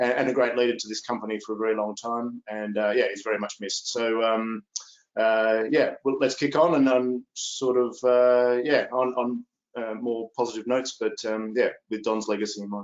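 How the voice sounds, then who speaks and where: A man with an Australian accent, medium in pitch, at a moderate pace, with monotone, flat intonation. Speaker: company executive. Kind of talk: investor presentation. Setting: video call webinar. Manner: hesitant, many fillers.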